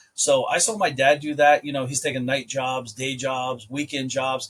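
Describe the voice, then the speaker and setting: A man speaks in a fairly high voice with an American accent. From US Midwest, rural Ohio. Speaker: entrepreneur. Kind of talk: podcast interview. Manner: casual, conversational.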